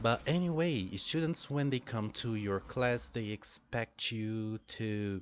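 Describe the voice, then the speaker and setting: Speaking in a Brazilian Portuguese accent, a man has a fairly low pitch and lively intonation. His pace is very slow. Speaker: English teacher. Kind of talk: monologue about teaching experience. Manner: hesitant, many fillers.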